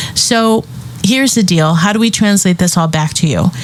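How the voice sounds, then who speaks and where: Noticeable background noise sits behind this clip. A woman speaks at a moderate pace. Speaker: business coach podcast host. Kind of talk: solo podcast monologue. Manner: animated.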